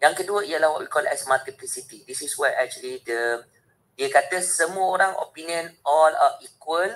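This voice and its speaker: A man with a Malaysian accent speaks with big swings in loudness. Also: moderate pace. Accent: Malaysian English code-switching with Malay. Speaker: university lecturer and trainer. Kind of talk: webinar lecture. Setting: video call. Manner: animated. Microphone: video call.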